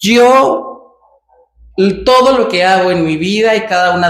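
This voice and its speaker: A woman speaks at a very slow pace in a Mexican accent, with lively intonation. There is audible room echo. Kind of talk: casual vlog monologue. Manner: natural, hesitant with fillers.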